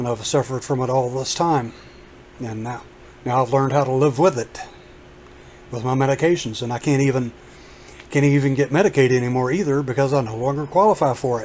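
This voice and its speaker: A man talks at a fairly quick pace with ordinary pitch variation, broken by long, frequent pauses. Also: medium pitch for a man. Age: 50s. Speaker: YouTuber. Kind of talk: casual vlog monologue.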